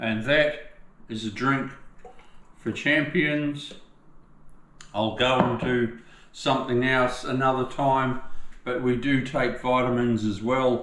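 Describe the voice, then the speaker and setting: A man with an Australian accent at a very slow pace, medium pitch and fairly even intonation, with long, frequent pauses and noticeable background noise. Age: 60s. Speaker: tiler. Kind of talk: casual talk to camera. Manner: relaxed, chatty.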